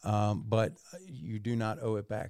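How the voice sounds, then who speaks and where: In a very clean, dry recording with a silent background and no echo, a man speaks in a fairly low pitch with a dark, mellow tone and vocal fry. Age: 50s. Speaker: podcast co-host. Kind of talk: casual chat.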